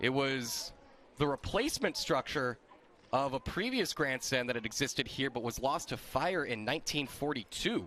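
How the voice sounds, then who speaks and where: A man speaks at a moderate pace in a medium pitch, his tone bright and sharp with ordinary pitch variation. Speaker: sports play-by-play announcer. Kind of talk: baseball play-by-play broadcast.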